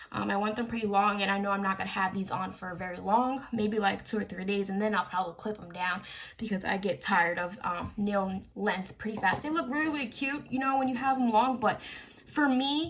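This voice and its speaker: Noticeable background noise sits behind a woman of medium pitch. She talks at a fairly quick pace with ordinary pitch variation. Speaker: beauty YouTuber. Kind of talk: tutorial. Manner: casual with many fillers.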